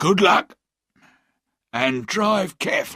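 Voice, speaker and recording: In a put-on character voice, a man speaks in a high, raspy voice at a fairly slow pace. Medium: read story.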